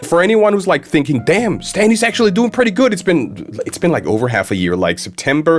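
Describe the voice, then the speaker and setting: Very wide pitch swings from a man, with noticeable background noise behind him. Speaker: YouTuber. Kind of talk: casual vlog monologue. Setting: home office studio. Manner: stuttering, halting.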